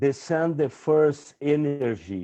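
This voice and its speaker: Against a quiet background, a man with a Brazilian Portuguese accent talks at a very slow pace, his fairly high voice dark and mellow in tone with ordinary pitch variation. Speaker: environmental activist. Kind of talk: conference talk. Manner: halting.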